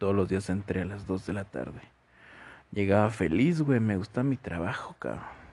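Speaking with a Mexican accent, a man with a fairly low pitch talks at a moderate pace with lively intonation. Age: 20s. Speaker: podcaster. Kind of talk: personal storytelling monologue. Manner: casual, profane.

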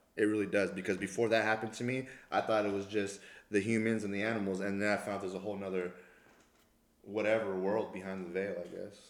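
A man talks at a very fast pace in a monotone, flat intonation. Audible room echo surrounds his voice. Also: fairly low pitch for a man. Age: 30s. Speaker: personal trainer and boxing coach. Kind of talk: casual chat.

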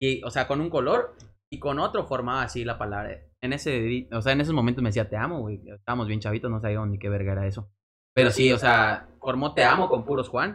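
A man in a Mexican accent speaks very fast at a medium pitch with ordinary pitch variation. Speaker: podcast co-host. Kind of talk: casual chat.

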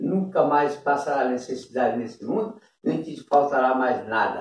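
This man talks at a moderate pace in a fairly high pitch, with an unremarkable speaking voice. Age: 60s. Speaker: interviewee. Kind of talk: casual chat.

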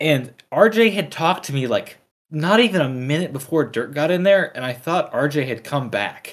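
In a plain, everyday voice, a man speaks at a moderate pace with a fairly high pitch and lively intonation. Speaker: college engineering student, guest. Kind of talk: casual banter.

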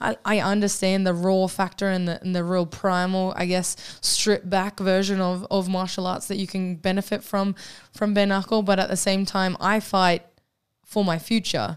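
A woman's medium-pitched, flat monotone at a moderate pace on a very clean recording with a silent background. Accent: Australian. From Queensland, Australia (born in New Zealand). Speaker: professional mixed martial arts fighter. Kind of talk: casual interview.

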